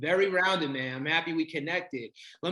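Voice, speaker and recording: High in pitch, a man's voice has a bright, sharp tone and ordinary pitch variation. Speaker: podcast host and entrepreneur. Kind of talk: podcast interview.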